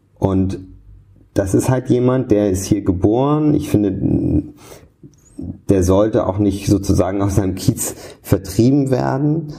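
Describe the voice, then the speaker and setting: This man has a dark, mellow tone and a fairly low pitch. He speaks at a very slow pace. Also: lively intonation. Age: 30s. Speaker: political analyst and editor. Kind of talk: interview. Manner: frequent repetitions and hesitations.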